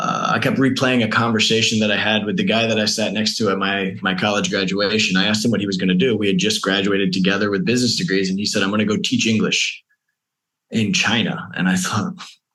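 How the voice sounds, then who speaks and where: Speaking very fast with an American accent, a man keeps his loudness very even, his fairly low pitch showing ordinary variation amid audible room echo. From Maryland, US East Coast. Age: 40s. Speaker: world traveler. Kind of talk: interview conversation.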